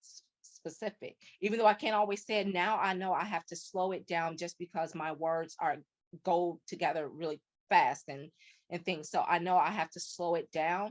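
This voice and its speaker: The voice has a slight Chicago accent and fairly even intonation, recorded dry and close with no echo. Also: woman. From US Midwest, South Side of Chicago. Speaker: podcast guest. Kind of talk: interview conversation. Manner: fast talker, words run together; hesitant with fillers.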